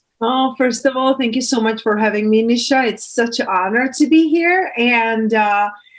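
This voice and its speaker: A woman with a high pitch speaks at a moderate pace with very even loudness, ordinary pitch variation, and hardly any pauses, over noticeable background noise. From Czech Republic, small town. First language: Czech. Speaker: transformational coach. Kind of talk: interview.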